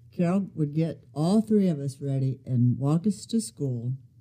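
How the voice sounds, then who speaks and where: Speaking at a fairly slow pace, a woman with an American accent uses lively intonation. Her tone is dark and mellow, and somewhat breathy. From US Midwest, Ohio. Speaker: grandmother sharing faith story. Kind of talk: testimony.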